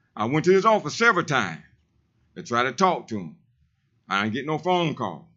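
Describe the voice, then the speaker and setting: A man talks loudly at a fairly quick pace. His pitch swings very widely. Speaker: public commenter, street preacher. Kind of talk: public comment at city council. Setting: city council meeting. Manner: animated.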